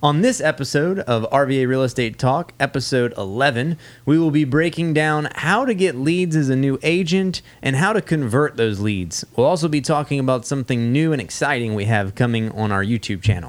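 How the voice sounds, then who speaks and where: A man with an ordinary speaking voice talks at a moderate pace, his pitch fairly high and his intonation lively. His loudness stays very even, and he hardly pauses at all. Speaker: podcast host. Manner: playful, bantering.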